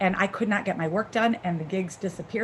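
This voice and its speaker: A woman with an American accent and medium pitch talks at a very fast pace with ordinary pitch variation over noticeable background noise. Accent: Chicago accent, comes out sometimes. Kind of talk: casual chat. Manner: halting, many fillers.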